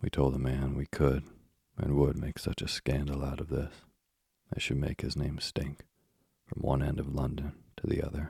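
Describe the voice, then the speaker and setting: A man speaks with a very deep, low pitch, vocal fry, and a dark, mellow tone at a moderate pace. His intonation stays monotone and flat, broken by long, frequent pauses. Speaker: bedtime story podcast host. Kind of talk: reading aloud. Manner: soft-spoken.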